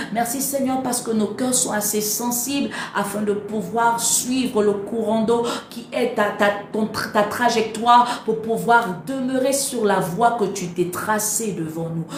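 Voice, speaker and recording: At a fairly slow pace, a woman with a fairly high pitch speaks with fairly even intonation, amid audible room echo and noticeable background noise. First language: not French (speaking French). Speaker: preacher. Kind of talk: prayer.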